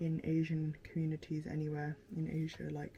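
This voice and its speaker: A somewhat breathy woman's voice at a fairly low pitch. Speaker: lifestyle vlogger. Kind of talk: casual vlog chat while doing makeup. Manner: chatty, many fillers.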